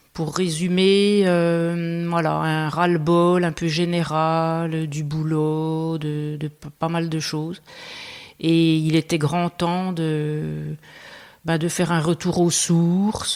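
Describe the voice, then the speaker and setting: A woman talks at a very slow pace with a very deep, low pitch. Her intonation stays monotone and flat. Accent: Franche-Comté. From Franche-Comté, Belfort. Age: 50s. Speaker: farmer. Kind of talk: interview conversation. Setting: room under renovation. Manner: hesitant, many fillers.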